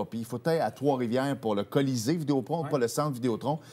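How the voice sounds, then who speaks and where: Lively intonation carries a man's very fast delivery. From Quebec. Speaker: sports TV host. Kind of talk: casual chat. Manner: animated. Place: studio.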